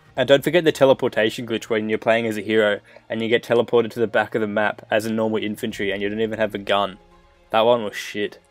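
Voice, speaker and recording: A man at a very fast pace, medium pitch, fairly even intonation, with music in the background. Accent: Australian. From Australia. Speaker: gaming YouTuber. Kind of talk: video game countdown commentary.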